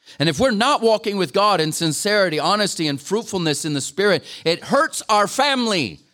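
Raising and projecting his high-pitched voice, a man speaks at a moderate pace with very wide pitch swings. His tone is bright and sharp, and the recording is very clean with a silent background. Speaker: guest preacher. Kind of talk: sermon. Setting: church gathering with audience.

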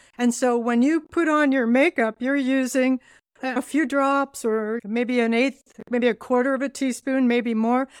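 A woman with a Californian accent speaks at a moderate pace and a high pitch, the sound dry and close with no echo. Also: very clean recording, silent background. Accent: Californian American. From US West Coast, Southern California. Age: 70s. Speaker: skincare founder. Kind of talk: interview conversation.

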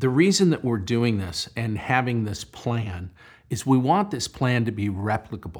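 A man talks with an ordinary speaking voice at a medium pitch. His intonation is lively and his pace moderate. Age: 60s. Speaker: real estate developer. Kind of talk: interview.

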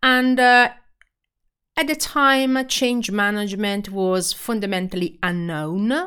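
A woman in an Italian accent with lively intonation, on a very clean recording with a silent background. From Italy. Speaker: podcast host and change management practitioner. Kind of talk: solo podcast introduction. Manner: halting, many filler words.

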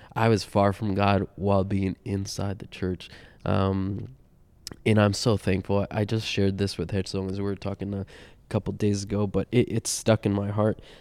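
Recorded very cleanly against a silent background, the sound is dry and close with no echo. A man speaks at a moderate pace and fairly low pitch with monotone, flat intonation. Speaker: vet clinic worker and pastor's kid. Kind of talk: casual roundtable chat. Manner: hesitant, many fillers.

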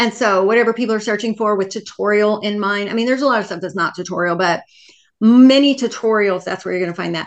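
Over a quiet background, the speech comes very fast with ordinary pitch variation. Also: woman, medium pitch for a woman. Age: 50s. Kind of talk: casual interview.

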